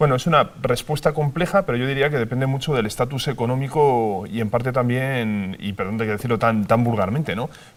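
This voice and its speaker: A man's fairly quick delivery, medium in pitch, with ordinary pitch variation and hardly any pauses. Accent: Spanish. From Spain. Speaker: TV presenter / popularizer. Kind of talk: TV panel discussion.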